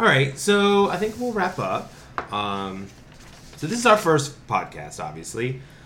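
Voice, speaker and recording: An American accent with very wide pitch swings at a fairly slow pace, amid audible room echo. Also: man. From North Carolina, Winston-Salem. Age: 30s. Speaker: podcast co-host, TV producer. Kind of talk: casual chat.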